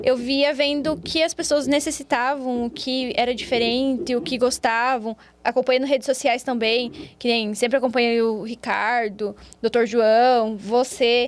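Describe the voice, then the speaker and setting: A woman's high voice in a Paraná accent, fairly slow and with fairly even intonation. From Brazil, Paraná. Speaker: physiotherapist. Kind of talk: interview.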